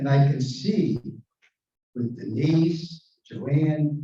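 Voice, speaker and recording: A somewhat breathy man with a fairly high pitch and a dark, mellow tone, at a very slow pace with long, frequent pauses. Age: 80s+. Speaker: retired sales executive and service club member. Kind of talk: convention speech. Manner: animated.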